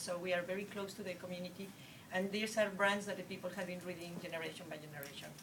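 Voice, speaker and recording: A woman's fairly low voice in a Spanish accent at a fairly quick pace, with audible room echo and noticeable background noise. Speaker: newspaper news director. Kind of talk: panel talk. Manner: halting.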